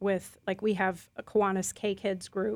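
A woman speaks at medium pitch in an unremarkable speaking voice. The recording is very clean, with a silent background. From US Midwest, Chicago/Milwaukee area. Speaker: school founder and head. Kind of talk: radio interview.

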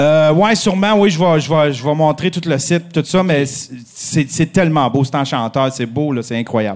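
With hardly any pauses, a man speaks at a fairly high pitch and ordinary pitch variation in an ordinary speaking voice. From Abitibi-Témiscamingue, Quebec. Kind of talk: casual chat. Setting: stage with live audience.

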